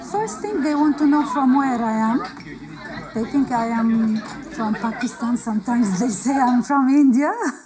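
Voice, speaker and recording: Amid crowd noise and audible room echo, a woman speaks in a high pitch. Her pace is moderate. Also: ordinary pitch variation. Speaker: refugee. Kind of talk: documentary interview. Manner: halting.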